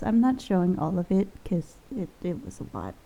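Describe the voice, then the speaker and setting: This woman's voice is dark and mellow in tone and somewhat breathy. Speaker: gaming youtuber. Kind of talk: voiceover commentary on a game build. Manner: rambling with fillers.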